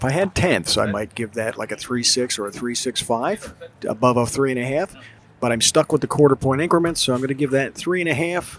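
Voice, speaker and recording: A man's voice at medium pitch, with ordinary pitch variation, a fairly quick pace and a normal speaking voice. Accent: American. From US Northeast, South Jersey. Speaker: podcast co-host, father. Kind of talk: casual chat. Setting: outdoors in a brewery beer garden.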